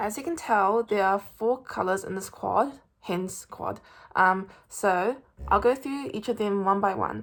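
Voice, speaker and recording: Speaking at a fairly slow pace in a New Zealand accent, a woman uses a medium pitch with ordinary pitch variation. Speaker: beauty vlogger. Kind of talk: product review and makeup tutorial. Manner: hesitant, many fillers.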